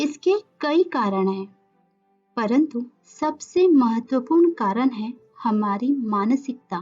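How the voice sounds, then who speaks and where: A woman with a high-pitched, calm and soothing voice speaks with lively intonation and long, frequent pauses while music plays in the background. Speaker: yoga nidra guide. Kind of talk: guided meditation. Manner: slow, calm, soothing.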